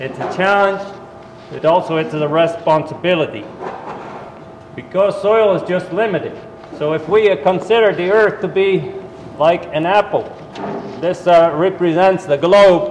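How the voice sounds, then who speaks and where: A man with a Dutch accent speaks at a high pitch and a moderate pace, with ordinary pitch variation and long, frequent pauses. Audible room echo and noticeable background noise come through. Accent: Dutch accent, lasting. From Netherlands. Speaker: university soil management specialist. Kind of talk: talk to farmers at a winter meeting.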